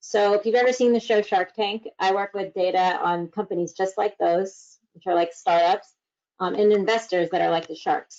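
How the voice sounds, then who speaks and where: Using a plain, everyday voice, the woman talks at a moderate pace, her medium pitch carrying fairly even intonation. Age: 20s. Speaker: data analyst, panelist. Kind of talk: panel introduction talk.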